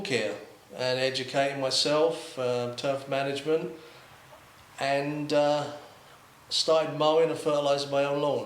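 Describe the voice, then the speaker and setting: Audible room echo and noticeable background noise surround a voice moving at a moderate pace with fairly even intonation. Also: man. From London, England. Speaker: lawn care video creator. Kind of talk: casual interview chat. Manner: hesitant, many fillers.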